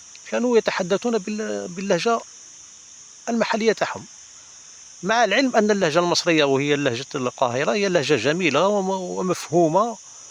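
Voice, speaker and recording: With lively intonation and a high pitch for a man, he speaks at a moderate pace, leaving long, frequent pauses, while noticeable background noise runs behind him. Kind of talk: casual talk to camera.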